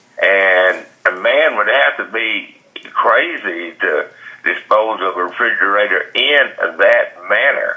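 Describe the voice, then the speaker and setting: A man's voice over noticeable background noise. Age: 70s. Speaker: defendant heading to trial, rural property owner. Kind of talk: phone interview answer. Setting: phone line.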